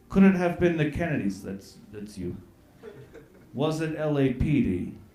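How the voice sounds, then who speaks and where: Against audible room echo, a man speaks at a fairly slow pace in a fairly high voice, with very wide pitch swings and big swings in loudness. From Nova Scotia, Canada. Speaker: comedian. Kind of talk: comedy roast, reading lyrics aloud. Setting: stage with audience.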